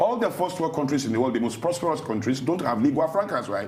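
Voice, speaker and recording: Very fast, animated delivery with very wide pitch swings, audible room echo and noticeable background noise. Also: man. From Nigeria, Yoruba Ijebu area. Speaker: thought leader, TV interview guest. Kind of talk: TV interview. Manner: animated, emphatic.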